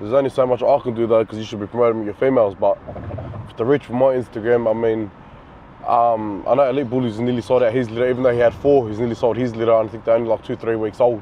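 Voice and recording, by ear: A man speaks fast at a medium pitch with little pitch movement, over faint background noise.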